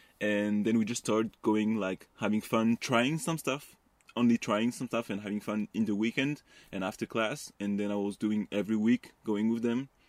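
A man with a French accent speaks at a moderate pace and a fairly low pitch, with fairly even intonation. The sound is dry and close with no echo, on a very clean recording with a silent background. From France, Paris western suburbs. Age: 20s. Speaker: parkour athlete. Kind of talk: casual interview. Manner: hesitant.

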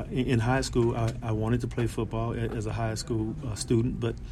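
A man speaks with an American accent. Audible room echo and noticeable background noise come through. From South Central Los Angeles. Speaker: lead singer. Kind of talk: casual interview. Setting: backstage before concert. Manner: halting.

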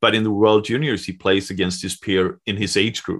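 A man with a Swedish accent speaks at a moderate pace and fairly low pitch. His intonation is fairly even, over a quiet background. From Sweden. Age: 40s. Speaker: hockey journalist. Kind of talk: casual chat.

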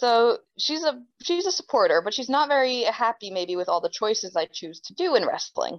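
Speaking in a New Jersey accent with hardly any pauses, a woman talks at a moderate pace and a high pitch, with very wide pitch swings and big swings in loudness. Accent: New Jersey American. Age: 20s. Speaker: professional wrestler. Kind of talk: interview.

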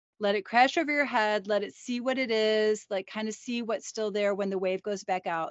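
This is a normal speaking voice at a moderate pace. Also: woman. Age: 50s. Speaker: psychologist and podcast co-host. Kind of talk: casual educational chat.

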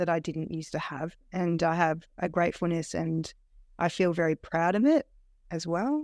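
A woman with an Australian accent speaks in a fairly low voice, recorded very cleanly against a silent background. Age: 40s. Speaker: weight loss program client. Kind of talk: interview, personal testimony. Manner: halting, many fillers and restarts.

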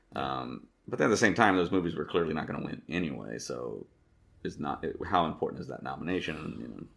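Talking at a very fast pace, a man with a very deep, low pitch uses lively intonation and vocal fry, his loudness swinging widely. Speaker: podcast co-host. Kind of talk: casual chat.

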